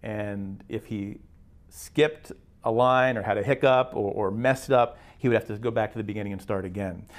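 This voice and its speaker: With an American accent, a man in an unremarkable speaking voice talks at a moderate pace and a medium pitch. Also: fairly even intonation. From western Pennsylvania (Beaver County). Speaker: baseball public address announcer. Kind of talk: storytelling interview.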